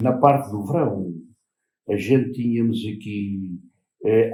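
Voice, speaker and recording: A man speaks in a fairly low voice with a dark, mellow tone. Room echo can be heard around him. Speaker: former fisherman and farm worker. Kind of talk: interview. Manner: halting.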